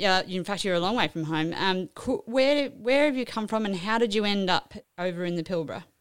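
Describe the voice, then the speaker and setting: In a very clean recording with a silent background, a woman talks in an ordinary speaking voice at medium pitch. She moves at a fairly quick pace with lively intonation. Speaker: podcast host. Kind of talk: interview chat.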